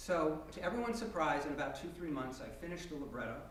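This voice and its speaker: A man talks at a high pitch with lively intonation. Noticeable background noise sits behind him. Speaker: storyteller and librettist. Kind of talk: live storytelling performance to an audience. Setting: live stage performance, audience present.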